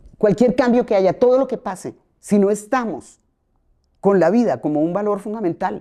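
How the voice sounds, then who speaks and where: A woman speaks at a moderate pace with lively intonation, her medium-pitched voice carrying a dark, mellow tone. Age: 60s. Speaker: playwright and theatre director. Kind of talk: podcast interview.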